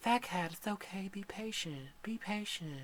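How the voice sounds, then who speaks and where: A female-sounding voice speaks softly at medium pitch, in a put-on character voice. The pace is moderate. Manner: gentle, reassuring.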